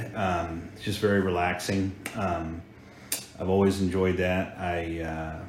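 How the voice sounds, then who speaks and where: A man's very deep, low voice in an American accent, monotone and flat, with audible room echo. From Hampton, Virginia, US. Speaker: insurance agency owner. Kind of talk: interview. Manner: halting.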